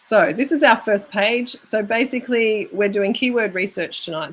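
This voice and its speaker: In an Australian accent, a woman speaks at medium pitch. She keeps a moderate pace. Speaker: YouTube creator coach. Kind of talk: live stream tutorial.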